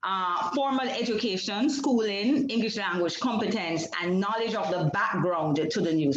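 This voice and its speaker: With a Jamaican accent, the speaker goes at a fairly quick pace amid noticeable background noise and audible room echo. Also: woman. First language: Jamaican Creole. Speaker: PhD researcher. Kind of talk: academic seminar presentation. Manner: halting, with repetitions and fillers.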